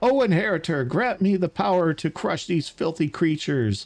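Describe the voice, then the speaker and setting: A man shouts in a put-on character voice, pitched high. His pace stays moderate. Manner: yelling, battle cry.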